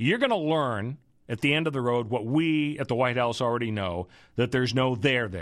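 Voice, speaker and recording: A plain, everyday voice from a man, medium in pitch with lively intonation at a moderate pace against a quiet background. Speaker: radio host and legal analyst. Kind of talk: radio talk show with political and legal commentary. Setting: radio studio. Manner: conversational, chatty, with frequent fillers and restarts.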